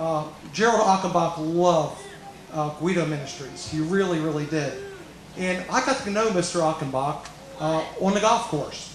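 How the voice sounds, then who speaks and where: A man's high voice at a moderate pace with ordinary pitch variation, audible room echo and noticeable background noise. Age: 60s. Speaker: golf professional. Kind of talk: commencement speech. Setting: graduation ceremony hall with audience.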